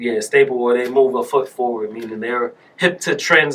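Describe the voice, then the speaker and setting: Speaking in an ordinary speaking voice with an American accent, a man keeps a medium pitch, ordinary pitch variation and a fairly quick pace. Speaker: clothing brand founder. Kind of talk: casual chat. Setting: studio.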